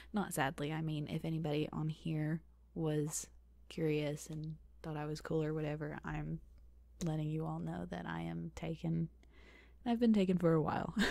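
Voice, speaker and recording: A soft-spoken woman talks at a moderate pace. She leaves long, frequent pauses. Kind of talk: ASMR Q&A, casual talk to camera. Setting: home recording, close microphone.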